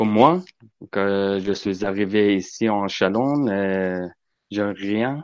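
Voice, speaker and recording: Over a quiet background, a man with a non-native accent speaks at a very slow pace and a fairly low pitch. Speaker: charity volunteer. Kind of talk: testimony. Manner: halting.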